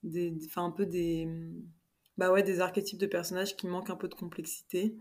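A medium-pitched woman on a very clean recording with a silent background. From Paris, France. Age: 20s. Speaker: fiction author. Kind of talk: casual interview chat.

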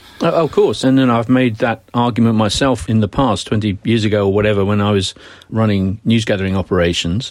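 The speaker has a British accent and a fairly quick pace. Loudness stays very even, and pitch varies in an ordinary way. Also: man, fairly low pitch for a man. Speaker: journalism professor and former news executive. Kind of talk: interview.

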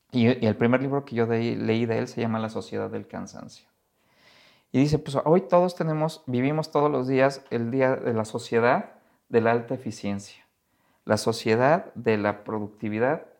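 This man speaks with a Mexico City accent at medium pitch and a moderate pace. His pitch varies in an ordinary way against a quiet background. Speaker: economist. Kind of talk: casual interview.

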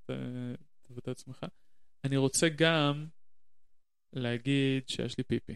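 Monotone, flat intonation from a man at medium pitch, very slow pace and long, frequent pauses, in a very clean recording with a silent background. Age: 30s. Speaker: podcast guest. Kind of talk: casual chat. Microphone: shared single channel, close to mic, plosives.

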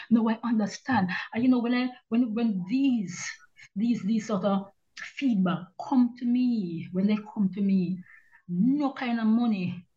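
Speaking at a fairly slow pace, a woman has a dark, mellow tone that is somewhat breathy, with ordinary pitch variation. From Jamaica (Kingston). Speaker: retired journalist and author. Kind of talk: interview.

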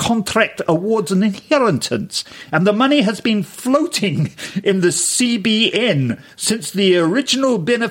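A natural reading voice carries lively intonation.

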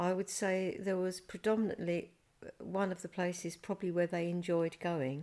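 A woman's medium-pitched, dark, mellow voice, monotone and flat, at a moderate pace. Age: 70s. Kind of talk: reminiscing interview.

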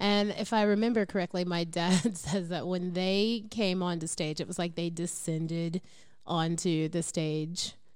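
A woman's normal speaking voice, fairly low in pitch, fairly slow, with fairly even intonation. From US, partly raised in Japan. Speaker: music podcast host. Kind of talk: casual chat. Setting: video call.

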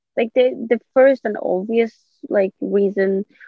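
A woman talks with a Swedish accent. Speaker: podcast guest. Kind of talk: casual interview.

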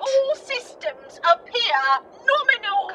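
A woman puts on a character voice with a Cockney accent, speaking at a fairly slow pace in an extremely high pitch over clear background noise. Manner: calm, formal, robotic.

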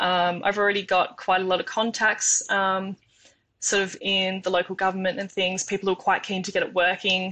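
A woman with an Australian accent has a bright, sharp tone at a medium pitch, speaking in a monotone, flat way at a moderate pace over a quiet background. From Tasmania, Australia. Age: 20s. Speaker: engineering student. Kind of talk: interview.

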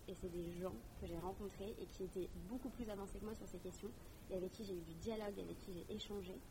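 Against noticeable background noise and audible room echo, a woman speaks at a fairly quick pace. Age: 20s. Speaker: climate activist and cooperation trainer. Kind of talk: interview. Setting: outdoor courtyard.

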